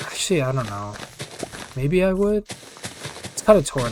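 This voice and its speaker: A man's voice over noticeable background noise. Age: 20s. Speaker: gaming commentary YouTuber. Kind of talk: casual gameplay commentary Q&A. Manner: casual, filler-heavy and halting.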